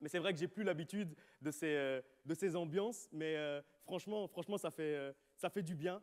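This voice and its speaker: A man with a Charleroi accent, high in pitch, with ordinary pitch variation. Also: moderate pace, dry, close sound with no echo. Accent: Charleroi Belgian French. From Belgium, Charleroi (Wallonia). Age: 30s. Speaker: pastor. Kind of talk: sermon. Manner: halting.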